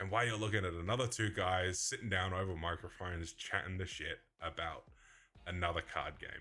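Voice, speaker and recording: A man's very deep, low voice, bright and sharp in tone, fairly quick, with ordinary pitch variation, on a very clean recording with a silent background. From Australia. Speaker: card game podcast co-host. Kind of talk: casual chat. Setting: home studio with microphones.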